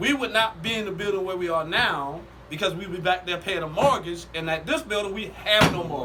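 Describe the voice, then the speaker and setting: A man's raised, projected voice, high in pitch with ordinary pitch variation, comes at a fairly quick pace over noticeable background noise. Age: 60s. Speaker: pastor. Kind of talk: casual podcast chat. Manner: preachy, building storytelling.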